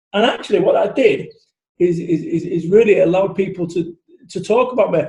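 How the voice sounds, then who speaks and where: A man with a Manchester accent talks at a fairly quick pace in a dark, mellow tone, his voice high-pitched for a man with ordinary pitch variation. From Salford, Manchester, northern England. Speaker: motivational business speaker. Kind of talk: podcast interview. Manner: animated, loud.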